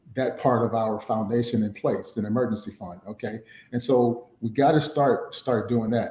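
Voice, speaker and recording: Here a man speaks in an unremarkable speaking voice at a medium pitch. His pace is moderate and his pitch varies in an ordinary way. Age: 50s. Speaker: financial planning speaker. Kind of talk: webinar teaching talk. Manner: many fillers and repetitions.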